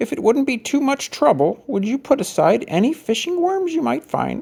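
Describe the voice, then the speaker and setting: A man's put-on character voice at an extremely high pitch and a moderate pace. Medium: read story.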